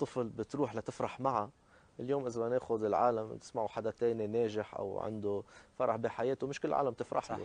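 The man's intonation stays fairly even as he talks at a moderate pace. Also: dry sound with no echo. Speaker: priest. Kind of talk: TV interview. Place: garden.

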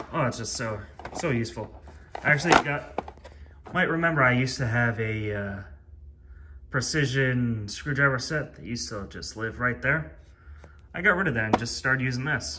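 Over noticeable background noise, a man talks with long, frequent pauses. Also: moderate pace. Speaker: YouTuber reviewing power tools. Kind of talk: casual vlog monologue. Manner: rambling, with frequent fillers. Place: garage. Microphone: phone near.

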